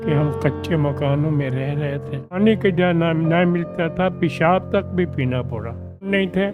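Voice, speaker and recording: Music plays in the background as a man talks. His fairly high voice carries lively intonation. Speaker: partition witness. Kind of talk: interview answer.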